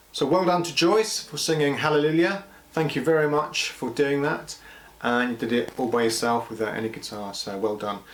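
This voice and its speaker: This man's fairly high voice moves at a moderate pace with lively intonation, while noticeable background noise sits behind it. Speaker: school assembly leader. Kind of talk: school assembly address. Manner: halting.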